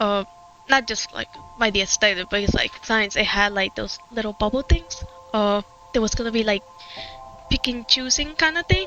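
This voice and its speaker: A woman speaks with a fairly high pitch and ordinary pitch variation. Music plays in the background. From Puerto Rico. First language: Spanish. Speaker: gaming streamer. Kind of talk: casual chat. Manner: halting.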